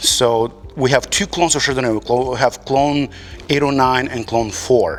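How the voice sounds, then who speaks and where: Music plays in the background as a man speaks at a fairly slow pace. His pitch shows ordinary variation. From Moldova. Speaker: winemaker. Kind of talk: casual interview. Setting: winery barrel room.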